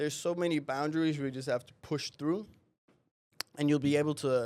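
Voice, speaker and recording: This man's voice sits fairly high and moves at a fairly quick pace. His intonation stays fairly even. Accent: Danish. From Denmark. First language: Danish. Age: 20s. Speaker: real estate agent. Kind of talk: podcast interview.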